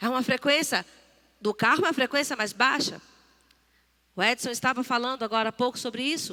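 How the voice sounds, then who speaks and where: With long, frequent pauses, a woman speaks in a high voice with ordinary pitch variation. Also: fairly quick pace. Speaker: church speaker. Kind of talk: sermon.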